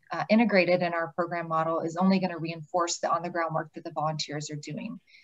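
Against a quiet background, a woman talks with a fairly low pitch and fairly even intonation. Hers is a plain, everyday voice. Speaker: nonprofit program staff, webinar moderator; webinar moderator. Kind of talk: webinar moderation. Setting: video call. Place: office. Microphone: video call.

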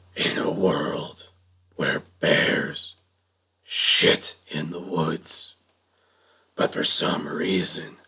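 A man puts on a character voice, raspy and very deep in pitch. He speaks at a very slow pace. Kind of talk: movie trailer.

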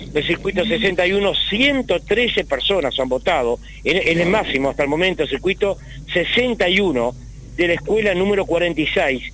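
A man's high-pitched voice at a fairly slow pace, over noticeable background noise. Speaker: field reporter. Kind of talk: live field report.

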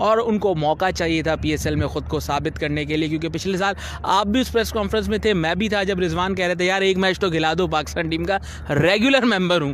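A man at a fairly high pitch and fast pace, against clear background noise.

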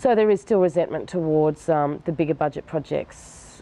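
This woman's voice sits very deep and low, with ordinary variation in pitch. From Australia. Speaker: filmmaker. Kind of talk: interview answer. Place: garden. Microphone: lapel.

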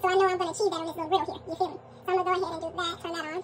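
A woman talks extremely fast with music running underneath. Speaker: home cook vlogger. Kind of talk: casual cooking tutorial chat. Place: kitchen. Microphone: phone near.

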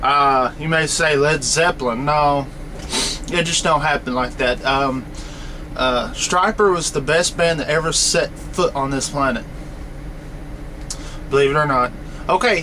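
The speech is fairly slow, broken by long, frequent pauses, with light background noise. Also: man, ordinary pitch variation. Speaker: truck driver vlogger. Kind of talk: casual vlog chat. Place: car. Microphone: webcam.

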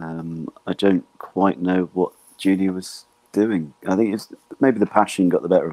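The voice has a dark, mellow tone and fairly even intonation at a moderate pace, with big swings in loudness. The sound is dry and close, with no echo. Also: man, very deep, low pitch for a man. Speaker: football fan. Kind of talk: casual chat.

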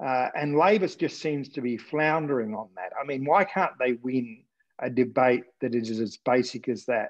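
A man with an Australian accent speaks at a moderate pace with ordinary pitch variation against a quiet background. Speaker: political journalist, interviewer. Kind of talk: interview conversation. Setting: video call. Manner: halting, many fillers. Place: home room. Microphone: earbuds.

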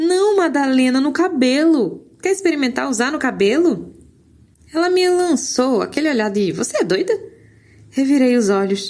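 Her high pitch swings very widely as a woman talks in an animated tone at a moderate pace with very even loudness. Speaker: audiobook narrator. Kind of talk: audiobook reading of a novel, first-person narration with dialogue. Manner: storytelling, animated, shifts tone for characters' lines.

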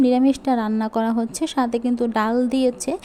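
Over noticeable background noise, a woman with a high pitch speaks with monotone, flat intonation. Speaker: cooking vlogger. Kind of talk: vlog monologue. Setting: kitchen.

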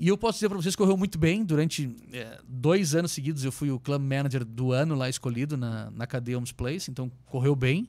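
Against a quiet background, a man with a fairly high pitch and a dark, mellow tone talks at a fairly quick pace with hardly any pauses and lively intonation. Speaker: entrepreneur; podcast guest. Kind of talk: casual chat. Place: studio. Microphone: studio mic.

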